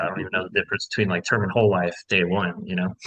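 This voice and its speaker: A man speaks with a bright, sharp tone. His intonation is fairly even. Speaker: life insurance sales agent. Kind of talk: casual chat.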